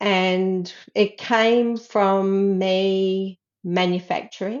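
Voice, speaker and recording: With an Australian accent, a woman speaks at a very slow pace in a medium pitch with fairly even intonation. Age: 60s. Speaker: herbalist. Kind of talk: casual interview.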